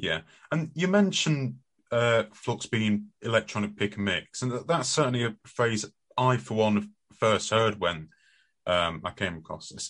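Speaking with a British accent, a man uses a fairly low pitch. His voice makes very wide pitch swings against a quiet background. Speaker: radio host. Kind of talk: casual radio chat.

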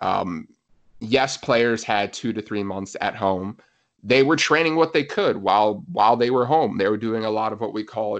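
A man talks in an ordinary speaking voice at a fairly low pitch and a moderate pace. The background is quiet. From US, New Jersey. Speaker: physiotherapist and soccer coach. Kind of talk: casual interview chat.

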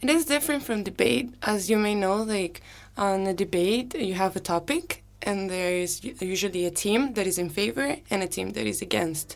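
A woman with a plain, everyday voice speaks at a medium pitch and a moderate pace with lively intonation. She takes hardly any pauses, and the recording is very clean with a silent background. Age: 20s. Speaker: exchange student. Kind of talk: interview. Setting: radio studio.

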